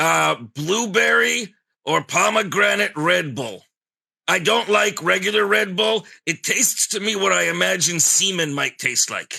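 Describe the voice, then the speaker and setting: Putting on a character voice, a man speaks raspily at a high pitch and a moderate pace. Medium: puppet. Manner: blunt, sardonic.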